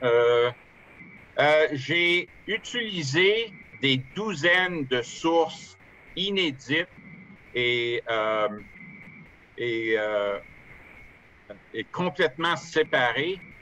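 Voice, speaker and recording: With an Ottawa accent, a man speaks at a very slow pace with a fairly high pitch, lively intonation and long, frequent pauses. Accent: Ottawa French-Canadian. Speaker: author and amateur historian. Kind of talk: online lecture with Q&A. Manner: halting, many hesitations and repetitions.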